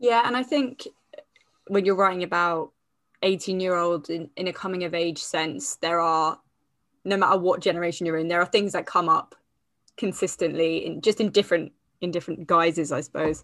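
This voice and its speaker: A woman in a British accent talks at a fairly quick pace, her fairly low pitch showing ordinary variation, on a very clean recording with a silent background. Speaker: podcast host. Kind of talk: casual interview chat.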